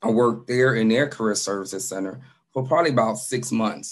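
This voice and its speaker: Very fast and at medium pitch, a man talks with ordinary pitch variation. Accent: American. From Chicago. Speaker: career services director and instructor. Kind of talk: workshop presentation. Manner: animated.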